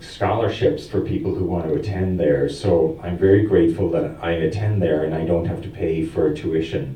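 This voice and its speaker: A man talks at a moderate pace with a very deep, low pitch. Noticeable background noise and audible room echo fill the recording. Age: 60s. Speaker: seminary student. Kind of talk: adult education conversation. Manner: halting.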